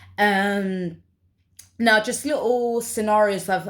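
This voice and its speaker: A woman with a London accent is captured in a very clean recording with a silent background. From London, England. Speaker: vlogger. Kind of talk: personal vlog monologue. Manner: halting, with many fillers.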